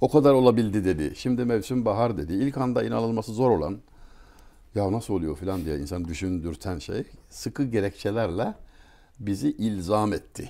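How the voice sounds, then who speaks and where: Lively intonation from a man with a fairly low pitch and a dark, mellow tone. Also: moderate pace. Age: 60s. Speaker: writer and speaker; speaker. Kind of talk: talk; conversational talk, storytelling. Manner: formal. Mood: warm, reflective. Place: home room. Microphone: lapel.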